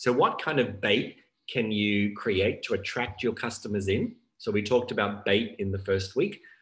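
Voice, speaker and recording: A man with an unremarkable speaking voice, fairly low pitch, fairly even intonation and a moderate pace over a quiet background. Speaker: business coach leading group session. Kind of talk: online workshop presentation. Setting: video call. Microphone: video call.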